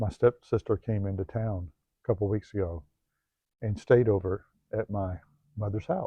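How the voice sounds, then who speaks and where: Speaking at a moderate pace with fairly even intonation, a man with a fairly low pitch sounds somewhat breathy and leaves long, frequent pauses. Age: 50s. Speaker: self-help video host. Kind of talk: personal monologue vlog. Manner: halting, many fillers.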